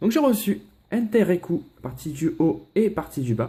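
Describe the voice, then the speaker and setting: Very wide pitch swings in a dark, mellow male voice. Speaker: Pokémon card collector YouTuber. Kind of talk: casual unboxing vlog. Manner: casual, hesitant with many fillers.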